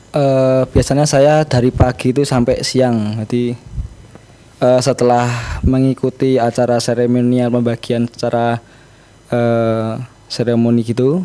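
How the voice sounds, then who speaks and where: Amid noticeable background noise, a man with medium pitch speaks at a fairly slow pace in a monotone, flat intonation. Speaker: reporter. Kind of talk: casual chat. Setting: video call. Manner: halting.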